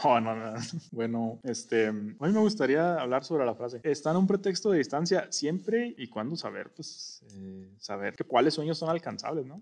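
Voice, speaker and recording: In a quiet background, a man with a fairly high voice speaks at a moderate pace, with very wide pitch swings and big swings in loudness. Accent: Mexican. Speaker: podcast co-host. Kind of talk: casual chat.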